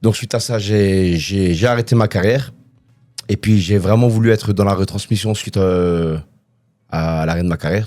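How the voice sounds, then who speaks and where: On a very clean recording with a silent background, a man with a very deep, low pitch and a dark, mellow tone speaks at a moderate pace with fairly even intonation. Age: 40s. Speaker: retired kickboxing champion and coach. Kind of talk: interview. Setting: studio.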